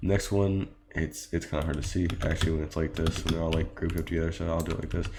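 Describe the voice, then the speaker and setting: A man speaks at a very fast pace in a very deep, low voice with monotone, flat intonation. Noticeable background noise runs behind him. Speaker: game mod developer. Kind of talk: tutorial. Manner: hesitant, many fillers.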